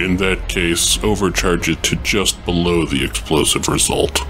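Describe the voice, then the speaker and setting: Putting on a character voice, a man speaks at a moderate pace with a very deep, low pitch over clear background noise. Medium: role play. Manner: blunt, terse.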